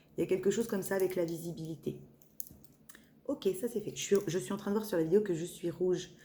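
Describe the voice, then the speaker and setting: A woman speaks at a fairly quick pace and medium pitch, with ordinary pitch variation and long, frequent pauses. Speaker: medium doing tarot channelings. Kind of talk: spiritual guidance reading. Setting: evening video recording. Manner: hesitant, many fillers.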